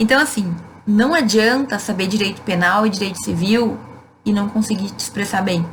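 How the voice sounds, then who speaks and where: A woman's medium-pitched voice in a southern Brazilian accent, with ordinary pitch variation at a moderate pace, over noticeable background noise and audible room echo. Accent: gaúcho Brazilian Portuguese. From Rio Grande do Sul, southern Brazil. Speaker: law professor. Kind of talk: live Q&A stream. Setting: Instagram live. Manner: casual, conversational.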